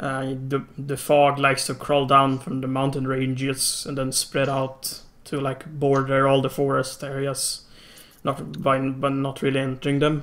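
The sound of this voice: Speaking at a fairly slow pace, a man with a medium pitch and fairly bright tone keeps a monotone, flat intonation.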